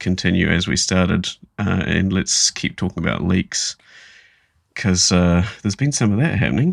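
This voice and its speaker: A man speaks with an Australian accent. His pitch is very deep and low, and his pace is moderate. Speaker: gaming podcast co-host. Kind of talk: casual chat.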